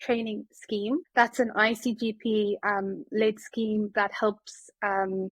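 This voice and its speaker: In a South African accent, a woman speaks very slowly at a fairly high pitch with fairly even intonation. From South Africa, Johannesburg. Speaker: family physician. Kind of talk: podcast interview. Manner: hesitant, many fillers.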